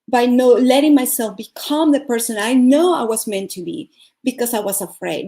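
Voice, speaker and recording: Lively in intonation and dark and mellow in tone, the voice, with a Venezuelan accent, moves at a moderate pace on a very clean recording with a silent background. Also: woman. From Venezuela (Caracas). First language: Spanish. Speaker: life coach and speaker. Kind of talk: motivational talk.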